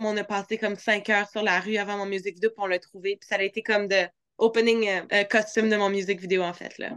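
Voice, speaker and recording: The voice speaks at a moderate pace in a Quebec accent. The sound is dry and close, without echo. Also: woman. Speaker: dancer and singer. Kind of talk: interview.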